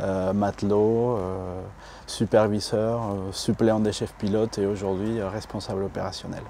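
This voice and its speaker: A fairly low-pitched man with a Spanish accent, flat and monotone in intonation, at a fairly slow pace. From Mexico. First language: Spanish (speaking French). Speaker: operations manager. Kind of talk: interview. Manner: hesitant, many fillers.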